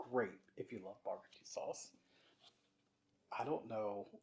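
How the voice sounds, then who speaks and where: A man with an American accent, at a very slow pace, with long, frequent pauses and big swings in loudness. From US South. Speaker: slime shop owner. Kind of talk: casual chat. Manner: casual, filler-heavy.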